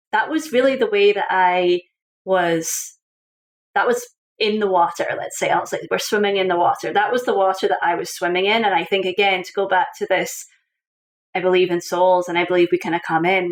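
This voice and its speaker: In a Scottish accent, a woman talks at a fairly quick pace. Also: medium pitch for a woman, ordinary pitch variation. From Scotland. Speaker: author and coach. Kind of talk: interview. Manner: animated.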